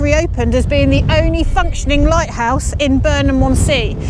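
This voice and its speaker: The woman talks at a moderate pace. Audible room echo mixes with noticeable background noise. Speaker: travel vlogger. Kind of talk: on-location presenting. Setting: outdoors by a lighthouse on the beach. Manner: loud, shouting.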